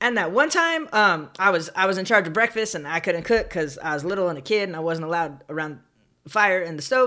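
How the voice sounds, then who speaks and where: Speaking at a fairly quick pace with an American accent, a woman has a bright, sharp tone at medium pitch. Her intonation is lively, and the recording is very clean with a silent background. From Southern California, San Bernardino. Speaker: podcast host. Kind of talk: solo storytelling monologue. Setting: home office recording, alone.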